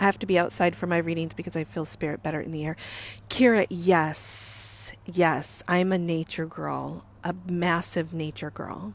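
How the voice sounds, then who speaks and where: Quiet and moderately paced, a woman speaks in a fairly low pitch with vocal fry and ordinary pitch variation. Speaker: psychic medium. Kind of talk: casual live-stream chat. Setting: in a car.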